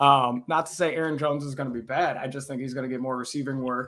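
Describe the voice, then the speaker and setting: A man at a medium pitch, fairly quick in pace, with fairly even intonation. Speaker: fantasy football analyst. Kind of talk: casual chat. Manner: fast.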